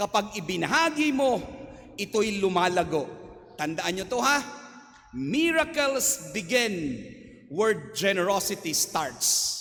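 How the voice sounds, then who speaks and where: Amid noticeable background noise, a man with a high pitch speaks at a fairly slow pace, with very wide pitch swings and long, frequent pauses. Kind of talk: homily. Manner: loud; animated.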